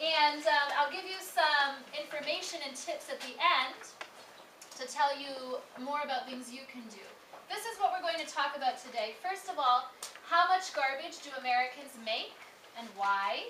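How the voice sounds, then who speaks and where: A raised, projected voice with lively intonation comes through audible room echo and noticeable background noise. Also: woman, high pitch for a woman, moderate pace, big swings in loudness. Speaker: academic director giving a lecture. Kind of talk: lecture.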